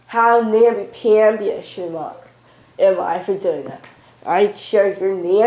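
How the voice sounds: This natural reading voice keeps its intonation fairly even.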